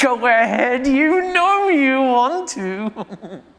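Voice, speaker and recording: A female-sounding voice, high for a woman, speaks very slowly in a put-on character voice. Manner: tempting, menacing.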